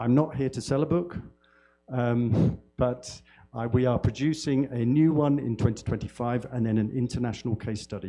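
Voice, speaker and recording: Music plays in the background as a man talks at a moderate pace, with medium pitch and ordinary pitch variation. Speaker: university academic developer. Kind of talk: conference lecture. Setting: conference hall with audience and simultaneous translation. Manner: loud.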